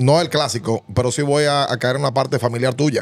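The sound is dry with no echo as a man speaks with fairly even intonation. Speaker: sports podcast host. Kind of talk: interview question. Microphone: studio mic.

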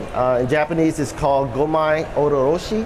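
Over noticeable background noise, a man talks at a fairly slow pace. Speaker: chef giving a demonstration. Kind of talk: live cooking demonstration to an audience. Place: stage.

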